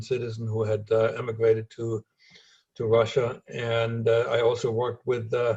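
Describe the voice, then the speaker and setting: With a slight German accent, a man talks at a moderate pace and medium pitch, sounding somewhat breathy. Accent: slight German accent in American English. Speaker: former spy. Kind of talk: interview.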